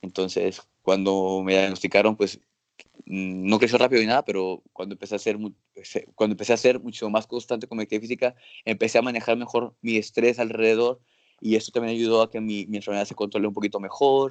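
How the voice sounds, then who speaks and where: A man at a very fast pace, fairly low in pitch with fairly even intonation, in a dry, close sound with no echo. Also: quiet background. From Mexico, Acapulco. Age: 30s. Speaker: physician. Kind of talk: interview. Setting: video call.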